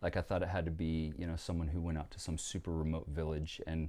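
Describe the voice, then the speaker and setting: A man with an American accent speaks very fast in a very deep, low voice with a dark, mellow tone. The recording is very clean, with a silent background. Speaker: missionary and surfer. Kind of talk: casual chat.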